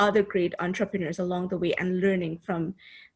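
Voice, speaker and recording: A fairly quick pace in a somewhat breathy voice from a woman. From Trinidad and Tobago. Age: 30s. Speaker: business coach. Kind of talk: casual chat.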